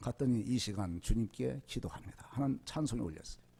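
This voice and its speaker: The pace is fairly quick, with very wide pitch swings. The tone is dark and mellow. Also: man. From rural South Korea. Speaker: lay preacher, former prosecutor. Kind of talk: sermon with personal testimony. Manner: fast.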